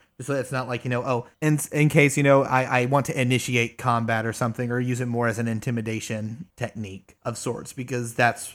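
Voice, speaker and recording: With an ordinary speaking voice, a man at medium pitch talks at a fairly quick pace with hardly any pauses and ordinary pitch variation, on a very clean recording with a silent background. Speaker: tabletop RPG player. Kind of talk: casual chat.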